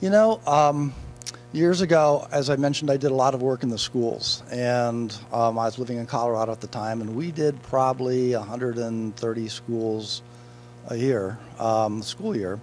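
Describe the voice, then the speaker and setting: This man has a plain, everyday voice at medium pitch, talking at a moderate pace with ordinary pitch variation. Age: 60s. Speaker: motivational speaker and author. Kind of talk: interview. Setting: event blue carpet.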